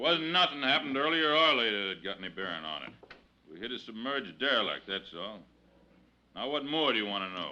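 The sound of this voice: Putting on a character voice, a man speaks at a fairly quick pace with a bright, sharp tone, fairly low pitch and big pitch swings.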